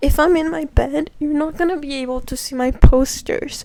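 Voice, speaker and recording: Soft-spoken and high-pitched, a woman with a non-native accent talks with ordinary pitch variation over noticeable background noise. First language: not English. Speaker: book vlogger. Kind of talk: casual chat. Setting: in bed at home.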